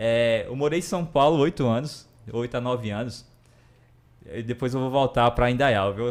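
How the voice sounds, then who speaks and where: A man in a Ceará accent speaks at a moderate pace, his medium pitch showing ordinary variation. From Brazil, Ceará. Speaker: entrepreneur, former bank worker. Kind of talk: live podcast interview.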